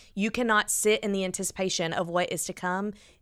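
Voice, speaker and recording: A woman with an American accent, an ordinary speaking voice, a medium pitch and fairly even intonation, in a very clean recording with a silent background. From US South, Huntsville, Alabama. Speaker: church guest services director. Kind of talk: casual chat.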